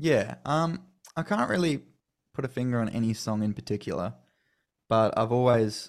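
A medium-pitched man talks with an Australian accent in a very clean recording with a silent background. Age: 20s. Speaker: country singer-songwriter. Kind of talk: interview.

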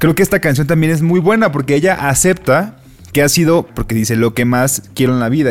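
Speaking at a very fast pace in a Mexican accent, a man uses ordinary pitch variation while music plays in the background. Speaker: podcast co-host. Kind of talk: casual chat.

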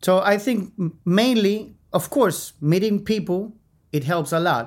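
A man with a Chilean accent speaks at a fairly slow pace. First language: Spanish. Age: 50s. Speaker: mix and mastering engineer. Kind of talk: podcast interview. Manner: halting, searches for words.

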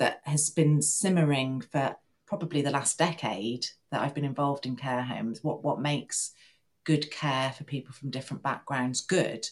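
The speaker has an English accent and talks at a moderate pace with ordinary pitch variation. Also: woman, very deep, low pitch for a woman. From rural England. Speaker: nurse and PhD student. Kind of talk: interview.

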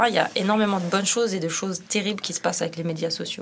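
Over noticeable background noise, a woman at medium pitch talks at a very fast pace. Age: 30s. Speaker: street artist. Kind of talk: casual chat.

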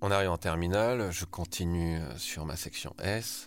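A very deep, low male voice at a fairly slow pace, with ordinary pitch variation and music in the background. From southwestern France (Bergerac). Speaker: art director. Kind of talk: personal testimony. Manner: hesitant, with fillers.

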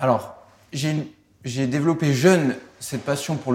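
At a fairly slow pace, a man speaks in a somewhat breathy, fairly high voice. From France. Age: 20s. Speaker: racing driver. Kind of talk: interview. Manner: hesitant, many repetitions.

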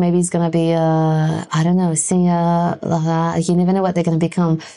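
With a French accent and a dark, mellow tone, a woman speaks at a fairly quick pace. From France. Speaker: arts and culture worker, mother. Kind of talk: interview conversation.

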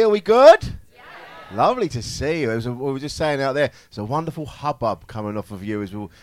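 A man speaks in an animated tone with a fairly high pitch. His pitch swings very widely and his loudness varies a lot. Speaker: comedian, comedy panel show regular. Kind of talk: live comedy panel show banter. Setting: stage with audience.

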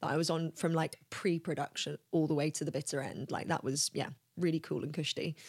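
Recorded very cleanly against a silent background with a dry, close sound and no echo, a woman speaks at a moderate pace in a fairly low pitch with a London accent. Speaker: talent agent and actor. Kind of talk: casual interview.

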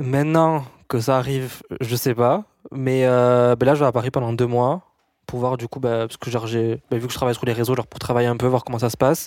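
The pace is fairly quick and the intonation fairly even, from an ordinary speaking voice. A silent background makes for a very clean recording. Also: man, medium pitch for a man. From rural France. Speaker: business student and influencer. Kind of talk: casual chat.

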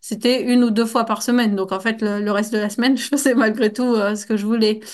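Against a quiet background, a woman speaks fairly quickly at a fairly high pitch. Her intonation stays monotone and flat. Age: 30s. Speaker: athletic trainer and trail runner. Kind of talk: casual interview.

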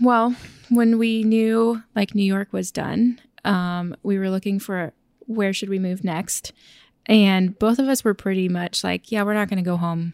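In a dry, close sound with no echo, a woman with a normal speaking voice talks at a medium pitch and with fairly even intonation. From Oklahoma, small town. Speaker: podcast co-host. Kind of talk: casual chat.

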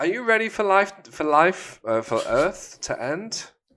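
On a very clean recording with a silent background, a man speaks at a fairly slow pace in a high pitch, his tone bright, sharp and playful. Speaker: podcast host. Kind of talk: casual banter. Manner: jokey, playful.

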